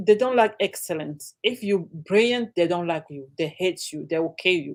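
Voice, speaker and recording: A woman with an African accent, fairly slow pace and lively intonation, in a very clean recording with a silent background. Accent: African accent, often mistaken for Jamaican. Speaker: livestream guest. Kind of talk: casual chat. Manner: animated.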